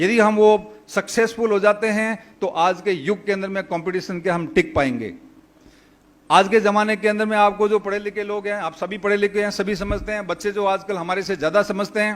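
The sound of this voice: A man speaks at a moderate pace in a high pitch, his intonation fairly even.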